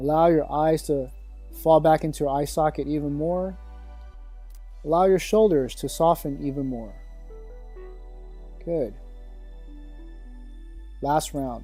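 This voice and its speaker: A man's fairly high, calm, soothing voice at a fairly slow pace, with fairly even intonation, long, frequent pauses and music in the background. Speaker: meditation teacher. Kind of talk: guided sleep meditation. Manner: calm, slow, soothing.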